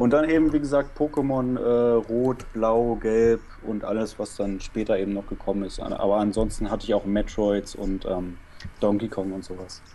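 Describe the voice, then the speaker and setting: This is a normal speaking voice at a moderate pace with ordinary pitch variation. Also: man, medium pitch for a man. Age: 20s. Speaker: former video game podcaster. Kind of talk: casual chat.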